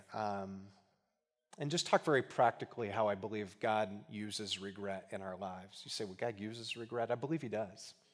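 This is a man with an ordinary speaking voice. His pitch is fairly low and his pace fairly quick. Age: 40s. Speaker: guest preacher. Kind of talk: sermon. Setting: church with congregation.

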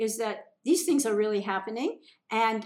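With an American accent, a woman talks at a fairly high pitch with ordinary pitch variation. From US Midwest, Minnesota. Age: 70s. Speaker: holistic medicine practitioner. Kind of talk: interview conversation. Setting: restaurant.

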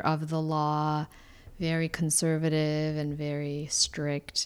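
A woman with a very deep, low pitch, in a Korean accent, with monotone, flat intonation, on a very clean recording with a silent background. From Seoul, South Korea. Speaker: churchgoer. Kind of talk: interview.

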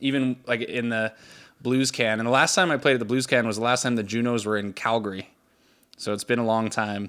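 A man with a medium pitch and an unremarkable speaking voice talks at a fairly quick pace. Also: fairly even intonation. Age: 20s. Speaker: musician. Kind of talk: casual chat.

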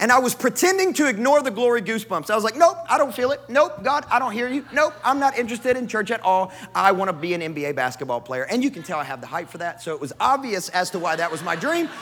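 Over noticeable background noise, a man with an American accent speaks at a very fast pace with hardly any pauses. His pitch is high and swings very widely. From US South, West Kentucky. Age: 30s. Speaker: pastor. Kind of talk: sermon.

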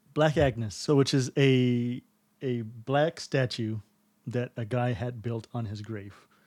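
An ordinary speaking voice from a man with an American accent, medium in pitch, at a fairly slow pace with fairly even intonation, recorded dry and close with no echo. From Texas. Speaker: podcast co-host. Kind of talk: casual chat.

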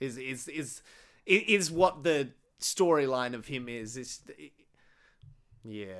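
An Australian-accented man's medium-pitched voice at a fairly slow pace, with lively intonation, big swings in loudness and long, frequent pauses, in a very clean recording with a silent background. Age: 30s. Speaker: podcast host. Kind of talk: casual chat.

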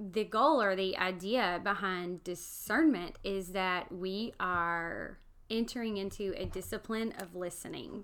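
Speaking at a fairly slow pace with hardly any pauses, a woman in a Southern US accent uses a medium pitch and ordinary pitch variation. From US South, Alabama. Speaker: podcast co-host, seminary student. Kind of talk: casual chat.

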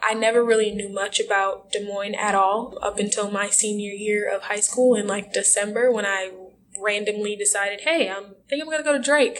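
At a fairly quick pace, a woman with a medium-pitched voice and fairly even intonation speaks in a normal speaking voice. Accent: American. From Milwaukee, Wisconsin. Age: young. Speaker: university student and activist. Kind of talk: interview.

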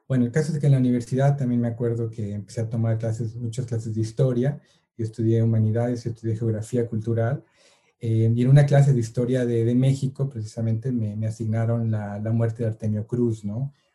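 A man speaks fairly quickly at a medium pitch, his voice somewhat breathy. His tone is dark and mellow, and his intonation stays flat and monotone. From Mexico City suburb. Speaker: photographer and filmmaker. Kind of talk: casual interview. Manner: hesitant, many fillers.

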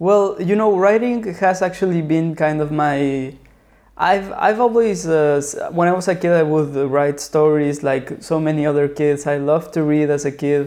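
With a Spanish accent, a man talks at a moderate pace with fairly high pitch. His loudness stays very even and his pitch varies in an ordinary way. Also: quiet background. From Mexico City. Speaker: writer and filmmaker. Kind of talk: casual interview.

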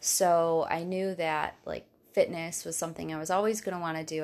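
The recording is very clean, and the background is silent. Her pace, as a woman speaking, is moderate. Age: 30s. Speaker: health coach. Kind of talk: casual chat. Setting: host's apartment.

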